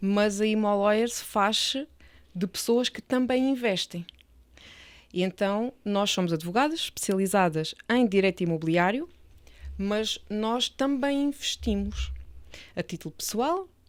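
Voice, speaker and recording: A woman with an Alentejo accent speaks at a fairly slow pace, using long, frequent pauses and lively intonation at a medium pitch. The recording is very clean with a silent background. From Portugal, Alentejo. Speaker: real estate lawyer. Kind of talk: interview podcast.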